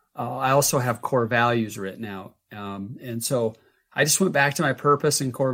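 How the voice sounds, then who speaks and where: A man with an unremarkable speaking voice and medium pitch speaks at a moderate pace. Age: 50s. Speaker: health coach and entrepreneur. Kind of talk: interview.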